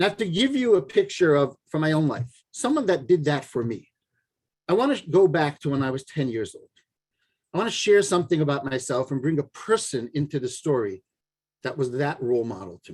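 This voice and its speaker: A man talks fairly quickly in a somewhat breathy voice, his intonation lively. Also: fairly high pitch for a man. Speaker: parenting coach. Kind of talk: lecture.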